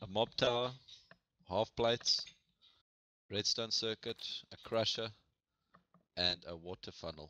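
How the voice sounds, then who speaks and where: At a fairly slow pace, a man with a South African accent speaks at medium pitch in a bright, sharp tone, with long, frequent pauses and big swings in loudness. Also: ordinary pitch variation. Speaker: gamer. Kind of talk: casual gaming chat. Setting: online voice chat.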